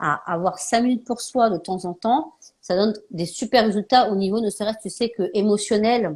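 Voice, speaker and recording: A woman with a fairly high, somewhat breathy voice talks, her pitch moving in an ordinary way. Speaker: naturopath and live show host. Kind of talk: casual live interview chat. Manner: fast.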